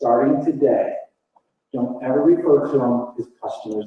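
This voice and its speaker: In a flat, monotone delivery, a man speaks at a medium pitch and a fairly slow pace. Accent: American. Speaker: marketing speaker. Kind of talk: conference talk.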